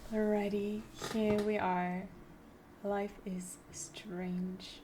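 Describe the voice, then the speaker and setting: With audible room echo, a woman speaks very slowly at medium pitch in a dark, mellow, somewhat breathy tone. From Germany. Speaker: streamer. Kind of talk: let's play commentary. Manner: animated.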